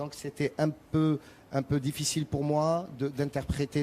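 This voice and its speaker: A man with an Arabic accent, fairly high in pitch, with a dark, mellow tone. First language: Arabic (speaking French). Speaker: rai singer. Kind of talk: TV interview. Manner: halting, many repetitions.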